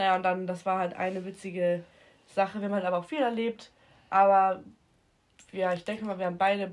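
A woman talks at a fairly quick pace in a flat monotone, breaking it with long, frequent pauses. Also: medium pitch for a woman. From Hamburg, northern Germany. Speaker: podcast guest. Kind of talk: casual chat.

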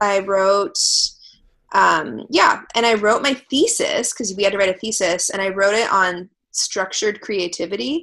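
A woman with an American accent, medium pitch and a bright, sharp tone, at a moderate pace with ordinary pitch variation. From Los Angeles (Venice), California. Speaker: singer-songwriter and high school teacher. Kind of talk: casual interview chat.

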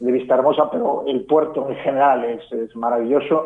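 This man has an ordinary speaking voice, medium in pitch, with fairly even intonation and a moderate pace. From Galicia, Spain. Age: 50s. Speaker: fashion commentator. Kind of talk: casual interview. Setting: phone call.

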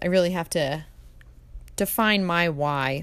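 A woman speaks with fairly low pitch and ordinary pitch variation. It is a plain, everyday voice. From New Jersey (Jersey Shore). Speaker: podcast host, clinical supervisor. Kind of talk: debate moderation. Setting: remote recording.

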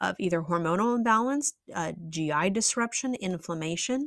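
The woman uses an ordinary speaking voice at medium pitch with lively intonation, in a dry, close sound with no echo. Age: 30s. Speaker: nutrition and lifestyle practitioner, podcast host. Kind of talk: solo educational podcast monologue. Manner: casual, conversational with fillers.

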